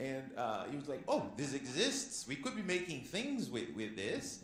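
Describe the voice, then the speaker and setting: Very wide pitch swings come at a moderate pace through audible room echo and noticeable background noise. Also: man. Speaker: panelist. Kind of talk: panel discussion. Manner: loud; animated.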